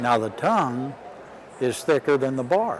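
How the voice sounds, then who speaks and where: Lively intonation stands out against noticeable background noise. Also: man. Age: 60s. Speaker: horse bit designer and clinician. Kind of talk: interview.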